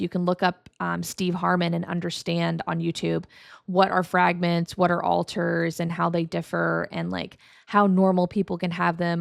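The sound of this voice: A woman speaks at a fairly low pitch with vocal fry and monotone, flat intonation. The recording is very clean, with a silent background.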